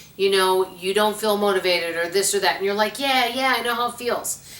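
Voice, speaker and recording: A woman speaks at medium pitch and a moderate pace. Noticeable background noise runs underneath. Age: 60s. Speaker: book vlogger. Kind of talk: casual chat. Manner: animated.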